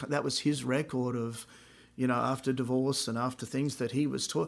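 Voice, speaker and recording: A man with an Australian accent, monotone and flat in intonation. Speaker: podcast host and musician. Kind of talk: casual chat.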